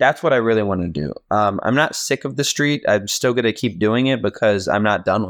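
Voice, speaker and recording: An unremarkable speaking voice from a man with an American accent, fairly low in pitch with lively intonation, at a fairly quick pace with hardly any pauses, in a dry, close, echo-free and very clean recording with a silent background. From Virginia, US. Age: 20s. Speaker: film photographer. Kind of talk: casual chat.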